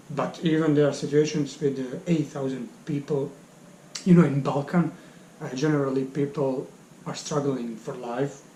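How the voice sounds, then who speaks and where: Noticeable background noise is heard. The pace is moderate and the intonation fairly even. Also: man, fairly high pitch for a man. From Bosnia (Bosnian Serb). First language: Serbian. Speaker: English teacher. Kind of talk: interview. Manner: halting.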